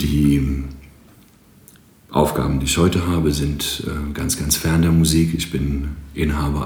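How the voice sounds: A man's extremely low voice with a slightly mellow tone and little pitch movement.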